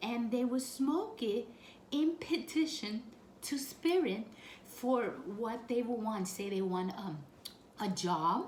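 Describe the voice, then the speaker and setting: Over noticeable background noise and audible room echo, a woman speaks very slowly at a fairly high pitch with very wide pitch swings. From Puerto Rico. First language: Spanish. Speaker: spiritual practice vlogger. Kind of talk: tutorial. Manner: casual, with frequent fillers.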